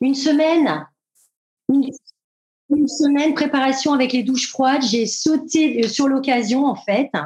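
Speaking fairly slowly with long, frequent pauses, a woman uses a high pitch and fairly even intonation. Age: 50s. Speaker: retail worker. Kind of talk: interview. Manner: halting.

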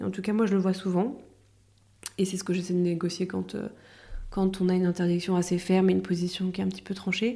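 Somewhat breathy and dark, mellow in tone, a woman of medium pitch talks at a very fast pace in a monotone, flat intonation, broken by long, frequent pauses. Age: 30s. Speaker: lawyer. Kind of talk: expert interview. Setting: office.

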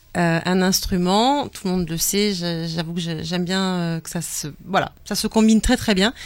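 A woman's plain, everyday voice, medium in pitch and fairly slow, with ordinary pitch variation, big swings in loudness, and a very clean recording with a silent background. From pied-noir family. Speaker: radio co-host. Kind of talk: casual chat. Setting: studio.

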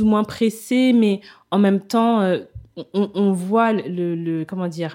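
Very slowly and with lively intonation, a woman speaks on a very clean recording over a silent background. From Kinshasa, DR Congo. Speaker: travel entrepreneur. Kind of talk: interview. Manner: hesitant, many fillers.

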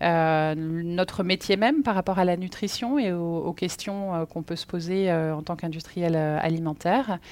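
With a normal speaking voice, a woman talks at a fairly slow pace with hardly any pauses and ordinary pitch variation. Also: fairly low pitch for a woman, very clean recording, silent background. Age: 40s. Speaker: company executive. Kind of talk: interview. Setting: on-site at company offices.

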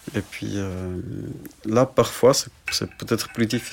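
In an unremarkable speaking voice, a man talks at a moderate pace and a fairly low pitch with ordinary pitch variation. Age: 40s. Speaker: hand surgeon and parent of a child with a muscle disease. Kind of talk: casual interview.

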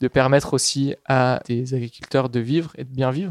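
The man's voice sits at medium pitch with fairly even intonation, and the sound is dry and close with no echo. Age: 20s. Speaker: agricultural researcher. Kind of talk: interview. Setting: on location at a food co-op pickup. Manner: halting.

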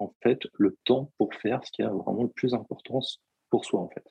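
This man's voice has a dark, mellow tone at a medium pitch. He talks at a fairly slow pace, and the sound is dry and close with no echo. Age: 30s. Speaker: personal development coach. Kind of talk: podcast interview.

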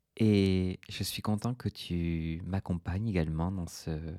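A soft-spoken man's very deep, low voice, dark and mellow in tone, with fairly even intonation at a very slow pace, dry and close with no echo on a very clean recording over a silent background. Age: 30s. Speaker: podcast host. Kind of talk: relaxed solo monologue.

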